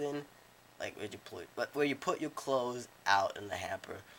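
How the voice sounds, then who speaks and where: A man is speaking. His pace is moderate. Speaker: drawing tutor. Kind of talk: casual drawing tutorial narration. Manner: halting, repetitive speech with many restarts.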